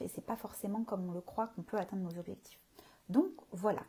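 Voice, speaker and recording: This woman's voice sits at a medium pitch with a dark, mellow tone. It is somewhat breathy. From southern France, Marseille. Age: 30s. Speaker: communication consultant and coach. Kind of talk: live stream talk. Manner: hesitant, many fillers.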